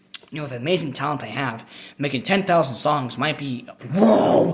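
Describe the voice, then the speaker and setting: The voice moves with lively intonation at a fairly quick pace over noticeable background noise. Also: man. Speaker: musician vlogger. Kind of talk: casual monologue. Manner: animated.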